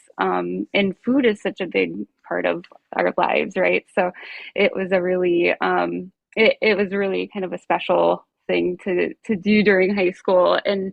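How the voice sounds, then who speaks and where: The speaker talks at a fairly slow pace with a slight Minnesota accent. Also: woman. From rural Minnesota, US. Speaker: nurse coach. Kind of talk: interview.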